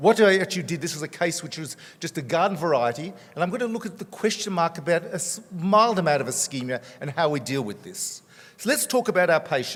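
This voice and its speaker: A high-pitched man with an Australian accent at a very fast pace. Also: lively intonation. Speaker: cardiologist. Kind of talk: conference talk.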